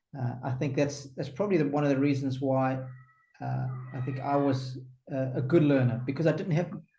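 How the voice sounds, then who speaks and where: With music in the background, a man speaks at a fairly quick pace with fairly even intonation. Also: fairly high pitch for a man. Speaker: tennis commentator and former pro player. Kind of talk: interview answer.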